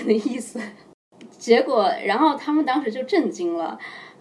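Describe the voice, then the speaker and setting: A woman at a high pitch, with music in the background. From China (Xinjiang, then Hainan). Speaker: chess coach. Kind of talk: casual interview chat.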